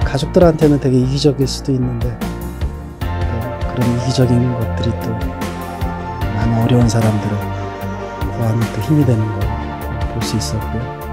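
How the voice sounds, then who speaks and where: A man speaks at a fairly slow pace. Loud music plays in the background. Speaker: actor. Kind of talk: interview answer. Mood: earnest, warm. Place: studio. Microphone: handheld.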